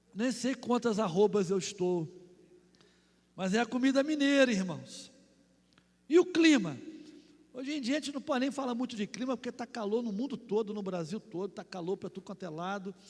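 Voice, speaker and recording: Here a man talks at a moderate pace with long, frequent pauses. His pitch is high and his intonation lively. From Rio de Janeiro, Brazil. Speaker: pastor. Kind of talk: sermon. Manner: animated.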